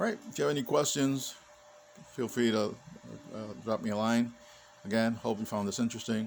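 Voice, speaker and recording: A man talks at a medium pitch. He leaves long, frequent pauses. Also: ordinary pitch variation, fairly quick pace. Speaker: 3D printing hobbyist. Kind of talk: casual video update. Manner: hesitant, many fillers; fast.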